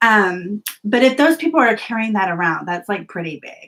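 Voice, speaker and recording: A woman has an unremarkable speaking voice at a medium pitch. Her intonation is lively and her pace moderate. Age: 40s. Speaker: planner vlogger. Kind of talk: live-stream chat. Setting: live video stream.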